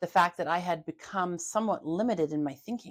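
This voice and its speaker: A woman with a Canadian accent speaks with ordinary pitch variation. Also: very clean recording, silent background. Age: 50s. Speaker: holistic health therapist. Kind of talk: casual interview. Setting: video podcast.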